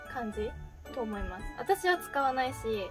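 A woman speaks in a Fukuoka accent. Clear music plays in the background. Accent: Hakata dialect. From Fukuoka, Japan. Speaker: idol. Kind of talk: casual talk to camera. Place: home room.

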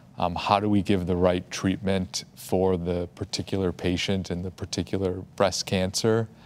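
With hardly any pauses, a man of very deep, low pitch talks in monotone, flat intonation. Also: moderate pace. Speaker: medical oncologist; panelist. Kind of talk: expert explanation on a panel. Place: studio. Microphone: lapel.

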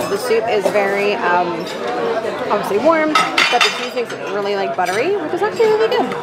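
A woman talks at a fairly quick pace. Crowd noise fills the background. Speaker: travel vlogger. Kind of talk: casual vlog chat. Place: cafe. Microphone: phone near.

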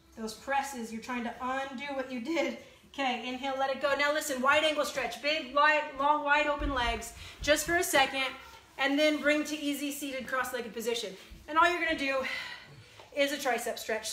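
A woman talks in a raised, projected voice at a fairly quick pace with fairly even intonation, amid audible room echo. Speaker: fitness instructor. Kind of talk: workout instruction. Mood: encouraging, warm. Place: home room. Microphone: phone near.

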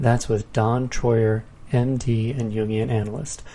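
His voice somewhat breathy, a man speaks with a dark, mellow tone. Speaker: podcast announcer. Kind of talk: announcements and scripted intro.

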